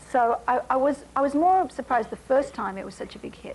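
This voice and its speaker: The speaker has an Australian accent and lively intonation. The pace is fairly quick. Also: woman. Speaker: singer and actress. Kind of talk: talk show interview answer.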